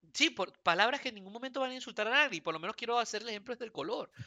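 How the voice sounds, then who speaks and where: The man's pitch is extremely high. It moves with ordinary variation. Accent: Venezuelan. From Venezuela. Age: 30s. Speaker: podcast co-host. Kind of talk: casual chat.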